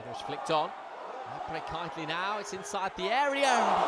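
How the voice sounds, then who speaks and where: A man talks at a moderate pace in an excited tone, with ordinary pitch variation. Noticeable background noise runs underneath. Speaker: football commentator. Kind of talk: live play-by-play football commentary over match highlights. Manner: measured, building to excited praise on big moments; analytical, fluent running description of play.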